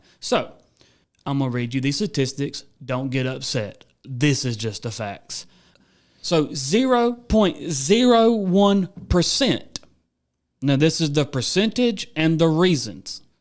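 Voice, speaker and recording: The speaker goes at a very slow pace with very wide pitch swings. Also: man, fairly high pitch for a man. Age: 30s. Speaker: co-host. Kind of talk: political talk show.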